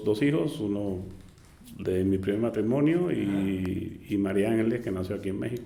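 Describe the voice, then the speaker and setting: A man talks rather slowly in a room with audible echo. His voice sits fairly low and varies in pitch in the usual way. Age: 60s. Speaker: cancer survivor, travel agency owner. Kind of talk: interview testimony. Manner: halting.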